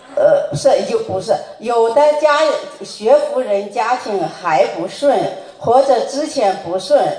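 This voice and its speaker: A woman at a high pitch with very wide pitch swings, a very slow pace, and noticeable background noise. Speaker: representative of a Buddhist study group asking questions. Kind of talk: reading prepared questions aloud.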